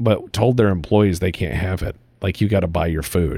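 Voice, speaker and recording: A speaker with an American accent talks at a moderate pace in a dark, mellow tone, on a very clean recording with a silent background. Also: man. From US Midwest, Cleveland. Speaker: podcast host. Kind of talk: casual chat. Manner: animated.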